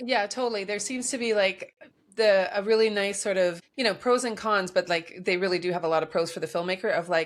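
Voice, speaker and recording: An unremarkable speaking voice from a woman, medium in pitch with ordinary variation, at a fairly quick pace. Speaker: podcast co-host. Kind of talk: casual chat.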